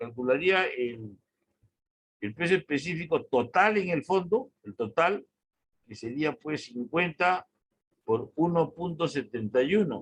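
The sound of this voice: A man speaks at a fairly slow pace with a fairly high pitch. His voice has a slightly husky edge and lively intonation.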